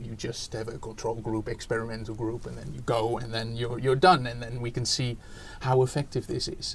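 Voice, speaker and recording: With a Dutch accent, a man speaks using fairly even intonation. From Netherlands. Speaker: education researcher, academic. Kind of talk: interview. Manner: hesitant, many fillers.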